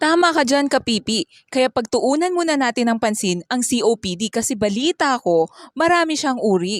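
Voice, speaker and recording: On a very clean recording with a silent background and a dry, close sound with no echo, a woman speaks high in pitch at a moderate pace, with very wide pitch swings and hardly any pauses. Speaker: student. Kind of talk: scripted health infomercial.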